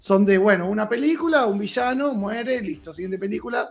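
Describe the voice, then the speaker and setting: A man with an Argentine accent speaks high and fairly quickly. His intonation is lively. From Argentina. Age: 40s. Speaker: cosplayer. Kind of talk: casual chat.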